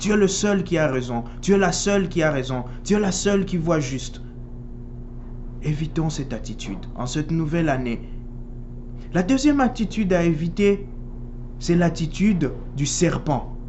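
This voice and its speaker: Long pauses come often in speech that otherwise runs at a moderate speed. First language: Swahili (speaking French). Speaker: priest. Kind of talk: sermon.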